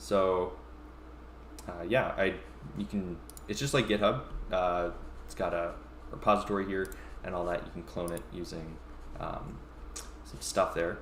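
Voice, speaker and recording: Audible room echo surrounds a man with a very deep, low pitch and lively intonation. He keeps a moderate pace, broken by long, frequent pauses. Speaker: tech company founder and tutorial streamer. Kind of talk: live-streamed coding tutorial. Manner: halting with many fillers.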